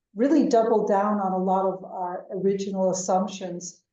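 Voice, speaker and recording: At a moderate pace, a woman with an American accent speaks, and room echo can be heard. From United States. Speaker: venture capital investor. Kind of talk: interview.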